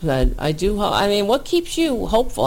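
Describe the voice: The voice has vocal fry and swings widely in pitch.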